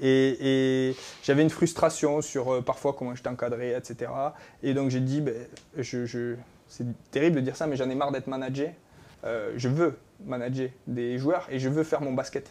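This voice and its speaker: In a southwestern French accent, a man talks at medium pitch with a dark, mellow tone and a monotone, flat intonation. He keeps a moderate pace broken by long, frequent pauses. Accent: southwest French. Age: 30s. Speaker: basketball coach. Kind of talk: talk show interview. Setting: studio.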